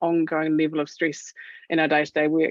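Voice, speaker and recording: This woman has a New Zealand accent. Her voice sits fairly low in pitch. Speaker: doctor speaking on clinician wellbeing. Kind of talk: webinar presentation. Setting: online webinar. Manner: fast; animated.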